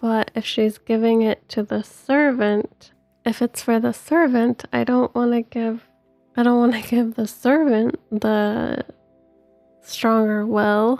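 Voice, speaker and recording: Soft-spoken with a calm, gentle tone, a woman speaks very slowly at a fairly high pitch with fairly even intonation while music plays in the background. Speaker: gaming video creator. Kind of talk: let's play commentary. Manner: calm, gentle pace.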